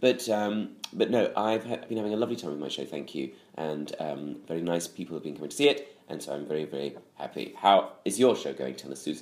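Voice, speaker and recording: Speaking at a very fast pace, a man with a very deep, low pitch and vocal fry moves through very wide pitch swings. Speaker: comedian podcast co-host. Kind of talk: casual chat. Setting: home kitchen.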